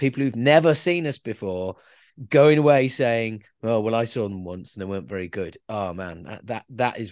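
A man's normal speaking voice, fairly low in pitch, at a moderate pace with big swings in loudness. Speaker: podcast host and band singer. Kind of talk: podcast interview.

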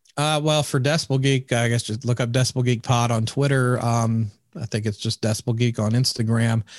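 A man's unremarkable speaking voice at medium pitch, fairly quick and fairly even in intonation, with a dry, close sound, no echo and a very clean recording against a silent background. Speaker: podcaster and event organizer. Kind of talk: casual chat.

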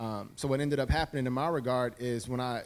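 In a very clean recording with a silent background, the speaker uses fairly even intonation with an American accent. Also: man. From Chicago, US Midwest. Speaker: designer, former sportswear design executive. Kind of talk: live panel discussion. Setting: stage with audience.

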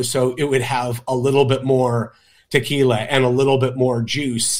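A man with a normal speaking voice and medium pitch talks at a moderate pace on a very clean recording with a silent background. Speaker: co-host and bartender. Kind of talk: tutorial.

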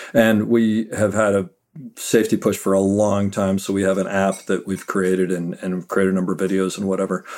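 A man with a fairly low pitch talks at a fairly quick pace in a flat monotone. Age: 50s. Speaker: Steadicam operator. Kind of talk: interview.

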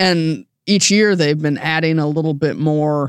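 An ordinary speaking voice from a man, fairly high in pitch, at a moderate pace in a very clean recording with a silent background. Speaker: podcast host. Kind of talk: casual banter podcast about tech. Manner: conversational, good-humored.

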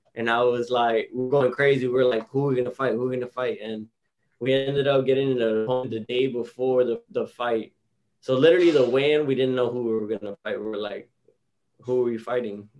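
A man with a Miami accent and medium pitch talks at a very fast pace in a monotone, flat intonation. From South Florida, Hialeah Gardens. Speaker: professional boxer. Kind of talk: interview. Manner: casual.

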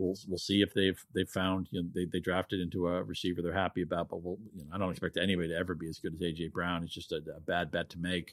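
Very deep and low, a man's voice moves at a very fast pace. His intonation stays fairly even. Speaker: fantasy sports analyst. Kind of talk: casual chat. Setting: at home.

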